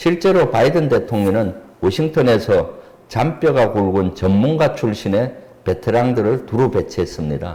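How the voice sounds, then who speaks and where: Speaking at a fairly slow pace, a man uses very wide pitch swings but keeps his loudness very even. His voice is somewhat breathy, with a dark, mellow tone. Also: medium pitch for a man. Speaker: politician and retired army general, defense expert. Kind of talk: expert interview on a politics channel. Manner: formal.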